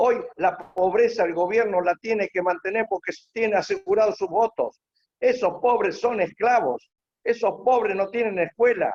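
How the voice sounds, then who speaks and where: A man with a high pitch speaks at a fairly slow pace in an animated tone, with very even loudness, ordinary pitch variation and a dry, close sound with no echo. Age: 70s. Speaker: panelist, former political candidate. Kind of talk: panel talk.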